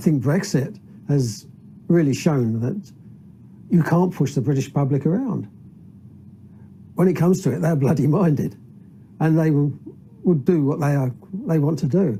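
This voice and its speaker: At a moderate pace, a man with a fairly high pitch and a dark, mellow, somewhat breathy tone speaks with lively intonation and long, frequent pauses. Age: 70s. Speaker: citizens' assembly member, retired aircraft refueller. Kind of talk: documentary interview.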